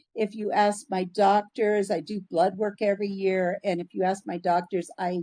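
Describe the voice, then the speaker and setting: A woman speaks at a moderate pace with an American accent in a normal speaking voice. Her intonation is fairly even, and the sound is dry and close with no echo. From US Northwest (Washington State). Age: 60s. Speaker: missionary, nonprofit founder. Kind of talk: interview conversation.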